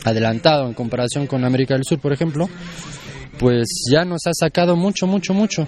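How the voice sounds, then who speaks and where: This man's voice sits fairly high, with ordinary pitch variation. Noticeable background noise runs under the recording. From France. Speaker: anarchist collective member. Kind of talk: interview answers.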